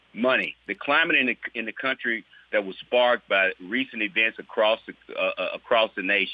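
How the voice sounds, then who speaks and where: A man with a Mississippi accent at a moderate pace, with long, frequent pauses. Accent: Southern US (Mississippi). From US South, Mississippi. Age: 60s. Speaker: state legislator. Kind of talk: interview. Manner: halting, with many repeated words.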